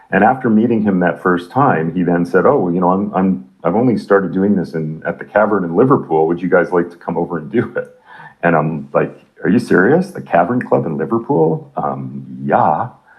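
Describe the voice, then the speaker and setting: With a Canadian accent and a very deep, low pitch, a man talks at a fairly quick pace with lively intonation over noticeable background noise. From Canada. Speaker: rock musician. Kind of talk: interview.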